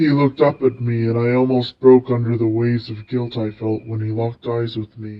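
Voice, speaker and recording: A man speaks at a fairly quick pace with hardly any pauses. His medium pitch stays in a monotone, flat intonation. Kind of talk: overwrought fanfic reading. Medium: read story.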